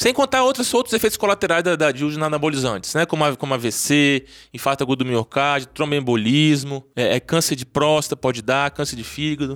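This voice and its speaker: With a Brazilian accent, a man with a fairly high pitch talks at a fairly quick pace with hardly any pauses, in a dry, close sound with no echo and a very clean recording with a silent background. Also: ordinary pitch variation. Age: 40s. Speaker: urologist and sex therapist. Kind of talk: interview.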